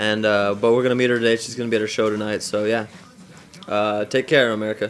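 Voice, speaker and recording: Over light background noise, a man talks very fast in a fairly low, flat, monotone voice. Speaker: vlogger. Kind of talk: casual vlog chat. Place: home room. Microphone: phone near.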